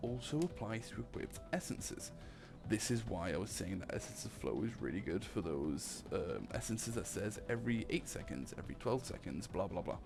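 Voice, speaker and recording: Someone mumbles with very wide pitch swings while music plays in the background. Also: man. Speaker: gaming YouTuber. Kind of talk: gameplay commentary. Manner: mumbling; casual, thinking aloud.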